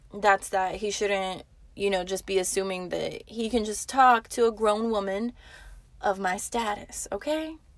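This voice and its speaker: In a very clean recording with a silent background, a woman speaks fairly slowly in an animated tone. Her medium pitch shows ordinary variation. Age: 20s. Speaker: podcast host, waitress. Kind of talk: casual monologue.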